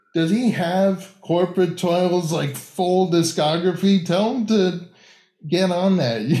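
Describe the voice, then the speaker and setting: A very slow man's voice with an American accent, high-pitched yet dark and mellow in tone, with ordinary pitch variation. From Tampa, Florida. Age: 30s. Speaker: music YouTuber. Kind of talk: casual chat.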